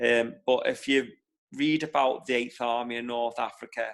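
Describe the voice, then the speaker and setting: A man talks with a Liverpool accent at a medium pitch. His intonation stays fairly even. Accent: Liverpool (Scouse). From Liverpool, England. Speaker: war veteran. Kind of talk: personal testimony in online talk. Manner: halting, many repetitions.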